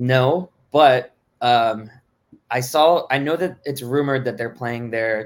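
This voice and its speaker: In a plain, everyday voice with an American accent, a man speaks at a medium pitch and a fairly slow pace with ordinary pitch variation. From Miami, Florida. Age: 20s. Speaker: music fan and former brand ambassador. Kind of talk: casual chat.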